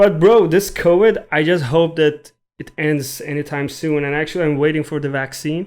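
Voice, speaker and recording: Speaking at a moderate pace, a man has an Iranian accent and a fairly high pitch. His intonation is fairly even. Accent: Iranian (Persian). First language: Persian (Farsi). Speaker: podcast co-host. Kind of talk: casual chat.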